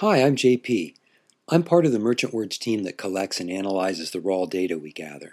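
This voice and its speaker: Lively intonation at a fairly quick pace, in a very clean recording over a silent background. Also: man. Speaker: data analyst. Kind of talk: scripted tip recording.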